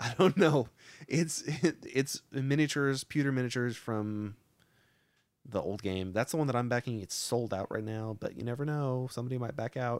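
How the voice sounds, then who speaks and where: A man speaks at medium pitch with ordinary pitch variation. The recording is very clean, with a silent background. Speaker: board game podcast host. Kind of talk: casual chat. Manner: fast talker.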